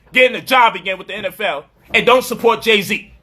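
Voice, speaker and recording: At a moderate pace, a man talks in an extremely high pitch, his voice raised and projected with a bright, sharp tone. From US Northeast, Brooklyn, New York. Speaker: commentator. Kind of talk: commentary monologue. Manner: animated.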